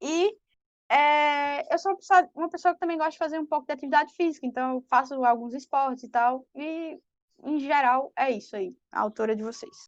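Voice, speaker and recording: A woman with a high pitch speaks at a moderate pace with ordinary pitch variation and big swings in loudness. The sound is dry and close with no echo, over a quiet background. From Brazil, Pernambuco (Recife). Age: 20s. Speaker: fanfiction author. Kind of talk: interview.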